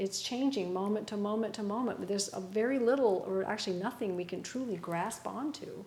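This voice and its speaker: A woman talks at a moderate pace, her fairly high pitch showing ordinary variation. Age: 60s. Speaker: Buddhist meditation teacher. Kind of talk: dharma talk with group discussion. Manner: halting, many fillers.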